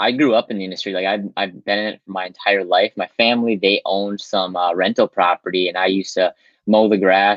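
Fairly quick and fairly low-pitched, a man with an ordinary speaking voice talks with an American accent and fairly even intonation. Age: 20s. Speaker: realtor. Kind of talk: interview.

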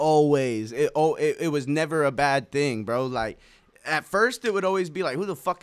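Lively in intonation, a man with a fairly high voice talks at a fairly quick pace. The recording is very clean, with a silent background. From Nebraska. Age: 20s. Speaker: rapper. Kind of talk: casual chat. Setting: studio.

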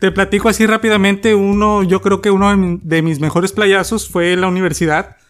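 A man's high pitch, fairly even intonation and very even loudness, at a fairly quick pace with hardly any pauses. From Mexico, Tampico. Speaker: podcast co-host. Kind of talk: casual chat.

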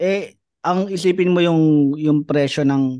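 A man speaks in a dark, mellow tone. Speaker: stand-up comedian. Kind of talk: casual chat.

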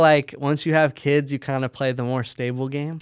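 In an American accent, a man with an unremarkable speaking voice talks at a moderate pace and a fairly high pitch. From United States, Pakistani heritage. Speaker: sock company founder. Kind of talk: casual interview.

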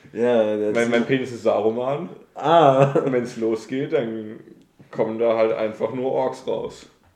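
A man speaks at a very slow pace with a medium pitch and fairly even intonation, and audible room echo surrounds his voice. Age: 20s. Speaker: podcast co-host, university student. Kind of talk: casual chat.

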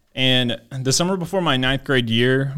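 This man has a normal speaking voice at a medium pitch. He talks with an American accent at a moderate pace. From Maryland, US. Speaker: pastor. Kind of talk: testimony.

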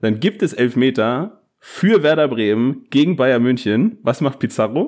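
A man's ordinary speaking voice, medium in pitch, with lively intonation, very even loudness, a fairly slow pace and hardly any pauses. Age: 20s. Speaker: podcast co-host and teacher. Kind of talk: casual chat. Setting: remote recording.

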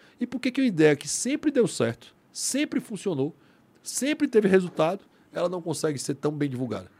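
Captured dry and close with no echo, a man's high voice moves in very wide pitch swings. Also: moderate pace. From Brazil, Ceará (Fortaleza). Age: 40s. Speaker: lawyer and libertarian think tank member. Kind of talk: casual chat.

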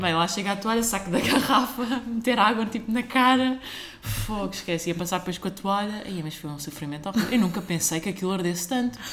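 A fairly quick delivery with noticeable background noise. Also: woman, medium pitch for a woman, lively intonation. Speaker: software engineer. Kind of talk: casual chat.

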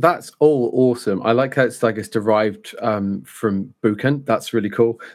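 In a British accent, a man speaks at a moderate pace with hardly any pauses, his medium-pitched voice showing ordinary pitch variation. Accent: British, contrasts with Brummie. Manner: casual, jokey.

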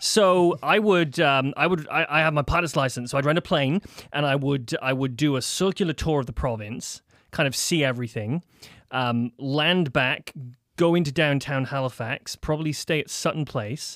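With a Welsh accent, the speaker moves at a moderate pace with ordinary pitch variation on a very clean recording with a silent background. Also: man. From Wales. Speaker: commercial real estate broker. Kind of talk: casual chat. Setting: studio.

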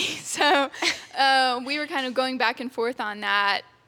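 A woman speaks in a high, raised, projected voice with an American accent. Noticeable background noise sits behind her. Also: big swings in loudness. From Texas. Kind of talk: casual chat.

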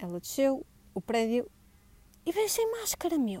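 This woman has a high-pitched voice with a dark, mellow tone. She speaks with a northern Portuguese accent. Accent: Gaia accent, noticeable today. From northern Portugal, Gaia. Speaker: podcast host. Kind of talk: casual solo monologue. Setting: outdoors in building garden. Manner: scattered, hesitant.

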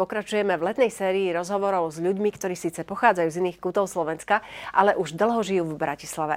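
Her intonation fairly even and her pitch medium, a woman gets through her words at a very fast pace. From eastern Slovakia, Stropkov area. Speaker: TV talk show host. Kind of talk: talk show interview. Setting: studio.

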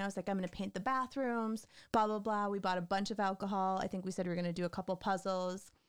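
Speech in an American accent comes at a fairly quick pace with fairly even intonation on a very clean recording with a silent background. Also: woman. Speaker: guest, host's wife. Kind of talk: casual chat. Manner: flat-sounding.

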